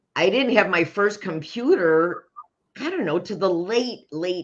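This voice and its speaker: A woman with a plain, everyday voice speaks at a fairly slow pace with lively intonation. The background is quiet. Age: 60s. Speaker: stress management mentor. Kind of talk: interview.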